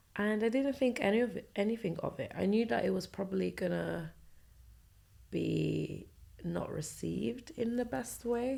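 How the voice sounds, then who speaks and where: A woman speaks quietly at a moderate pace. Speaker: podcast host. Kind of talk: personal storytelling monologue. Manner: speaking quietly.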